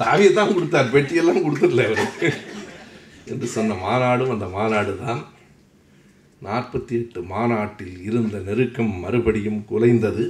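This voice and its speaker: Lively intonation from a man at a medium pitch, with audible room echo. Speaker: public lecturer. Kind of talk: lecture. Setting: hall with audience. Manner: formal.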